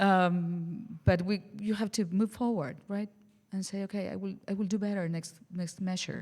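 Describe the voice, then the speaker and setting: With an Argentine accent, a woman speaks at a medium pitch and with fairly even intonation. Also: moderate pace. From Argentina, Buenos Aires. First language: Spanish. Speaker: jazz singer. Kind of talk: casual interview chat. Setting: radio studio, live session.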